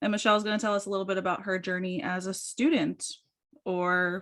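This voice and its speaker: Very cleanly recorded against a silent background, a woman with an unremarkable speaking voice talks fairly quickly at a medium pitch. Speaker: podcast host. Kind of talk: podcast host talk.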